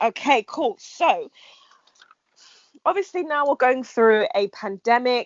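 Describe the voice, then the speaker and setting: The speaker has a London accent and a moderate pace. Pitch varies in an ordinary way. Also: woman. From England. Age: 20s. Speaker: podcast host. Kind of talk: podcast intro; casual chat.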